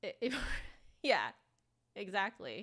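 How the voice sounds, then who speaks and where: A woman's voice has a bright, sharp tone, vocal fry and ordinary pitch variation. The recording is very clean, with a silent background. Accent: San Francisco Bay Area. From US, San Francisco Bay Area. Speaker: flutist and instrument reviewer. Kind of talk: live stream review. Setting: live stream. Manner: casual, filler-heavy.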